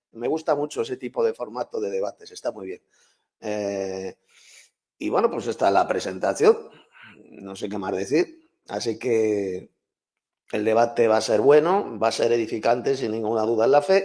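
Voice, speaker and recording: In a Castilian accent, this voice has a dark, mellow tone, ordinary pitch variation and a moderate pace, broken by long, frequent pauses. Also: man, medium pitch for a man. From Spain, Madrid. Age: 60s. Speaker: Bible teacher and author. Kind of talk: debate.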